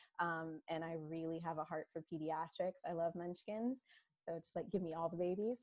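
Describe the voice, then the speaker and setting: A plain, everyday voice at a moderate pace with ordinary pitch variation, in a dry, close sound with no echo. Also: woman, fairly low pitch for a woman. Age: 30s. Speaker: physical therapy student and mother. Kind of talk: casual interview.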